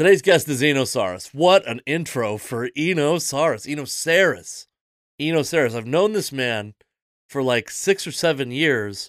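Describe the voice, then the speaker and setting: In a plain, everyday voice, a man with an American accent speaks at a fairly high pitch and moderate pace. His intonation is lively, and the recording is very clean with a silent background. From Seattle, US Pacific Northwest. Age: 30s. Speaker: podcast host and comedian. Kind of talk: casual chat.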